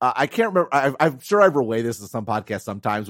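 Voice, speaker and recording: A man with an American accent, very fast and with lively intonation. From US Midwest, Wisconsin. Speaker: tech analyst podcast co-host. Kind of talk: casual chat. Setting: remote call.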